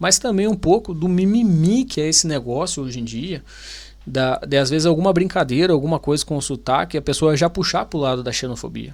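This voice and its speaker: The voice carries a Brazilian accent at a fairly quick pace. Its intonation is lively. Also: man, fairly high pitch for a man. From Brazil, Paraná. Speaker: YouTuber, Brazilian immigrant. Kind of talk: video reaction commentary. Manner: animated, informal.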